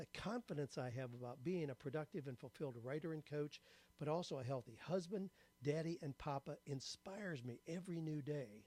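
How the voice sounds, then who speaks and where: With a dark, mellow tone, a man speaks at a fairly quick pace, fairly high in pitch with ordinary pitch variation. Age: 70s. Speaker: writer and career coach. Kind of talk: testimonial. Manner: scripted, measured delivery.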